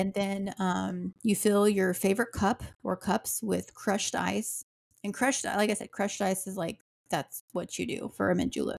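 On a very clean recording with a silent background and a dry, close sound with no echo, a woman speaks at medium pitch and a moderate pace with vocal fry and fairly even intonation. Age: 40s. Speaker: podcast host. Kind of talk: casual chat.

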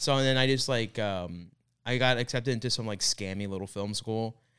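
With an American accent, a man uses an ordinary speaking voice with ordinary pitch variation, captured on a very clean recording with a silent background. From Florida, US. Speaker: comedian. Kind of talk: casual chat.

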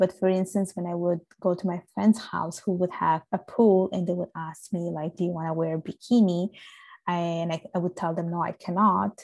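In an Italian accent, a woman speaks at a fairly low pitch with monotone, flat intonation on a very clean recording with a silent background. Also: moderate pace. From Sicily, Italy. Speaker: podcast guest. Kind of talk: casual chat.

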